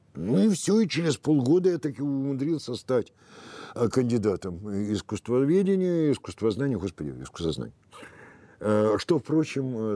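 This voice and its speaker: A man's dark, mellow tone at a moderate pace, with very wide pitch swings. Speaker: film historian. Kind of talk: interview. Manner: halting.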